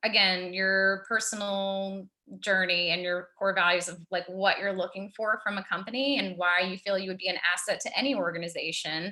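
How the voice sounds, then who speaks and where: A woman at medium pitch has a plain, everyday voice and fairly even intonation. She keeps a moderate pace with hardly any pauses. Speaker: recruiting company founder and mentor. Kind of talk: webinar Q&A on resumes. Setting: video call.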